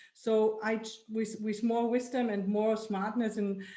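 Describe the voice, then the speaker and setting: A woman with a German accent speaks at a fairly high pitch with fairly even intonation. Audible room echo surrounds her voice. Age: old. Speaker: women's club founder. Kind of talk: group video meeting discussion. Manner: halting.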